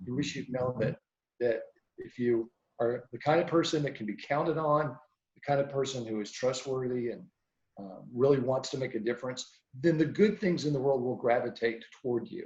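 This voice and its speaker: A somewhat breathy male voice at medium pitch with ordinary pitch variation. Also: moderate pace. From US South. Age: 60s. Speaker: meteorologist. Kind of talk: interview. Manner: reflective.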